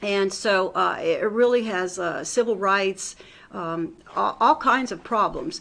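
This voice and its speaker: The woman's voice sits at a medium pitch. She speaks at a very slow pace. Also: ordinary pitch variation. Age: 70s. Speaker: lawyer and political candidate. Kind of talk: interview. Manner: hesitant, many fillers.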